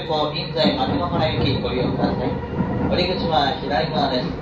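A man's voice carries audible room echo under loud background noise. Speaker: train announcer (conductor or recording). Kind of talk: transit announcement. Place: train. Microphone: pa.

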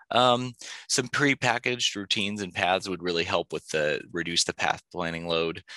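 A man's very deep, low voice with a bright, sharp tone, ordinary pitch variation and a moderate pace against a quiet background. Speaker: aerospace engineer presenting a robotics project. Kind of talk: conference presentation. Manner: halting, many filler words.

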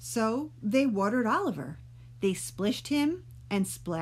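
A passage is being read aloud in a natural voice.

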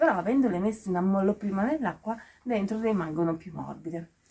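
A woman talks at a fairly quick pace with ordinary pitch variation. She has a plain, everyday voice. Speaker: vlogger. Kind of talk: casual vlog chat. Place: open country. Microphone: phone near.

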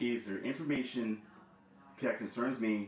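A man with fairly even intonation, audible room echo and light background noise. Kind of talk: confused questioning of an unseen voice. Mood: confused, agitated. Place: home room. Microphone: camera far.

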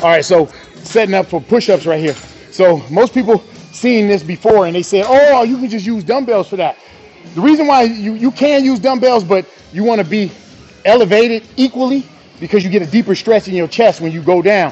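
Man at a fairly quick pace, faint music in the background. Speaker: fitness trainer. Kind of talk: tutorial. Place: gym.

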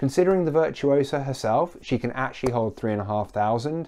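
A man's fairly quick, lively delivery in a dark, mellow tone, over a quiet background. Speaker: cruise news vlogger. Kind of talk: casual vlog chat. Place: home room. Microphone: lapel.

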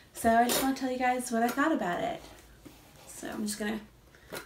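Noticeable background noise accompanies the woman's speech. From Canada. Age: 20s. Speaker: mom vlogger. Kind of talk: product review to camera. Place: home room. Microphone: phone near.

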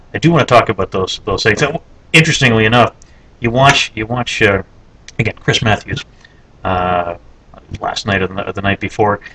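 With a Canadian accent, a man talks at a moderate pace in a fairly low pitch, using ordinary pitch variation and long, frequent pauses. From Canada. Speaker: video blogger. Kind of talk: casual monologue. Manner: halting, many fillers and repetitions. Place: office. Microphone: webcam.

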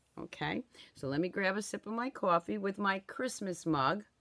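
Lively intonation from a woman at a moderate pace, against a quiet background. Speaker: craft product seller. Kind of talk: casual live-stream chat. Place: home room. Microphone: phone near.

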